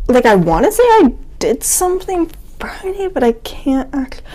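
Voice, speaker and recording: The delivery comes at a fairly slow pace with lively intonation. The tone is dark and mellow. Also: woman. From New England. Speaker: podcast co-host. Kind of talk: casual chat.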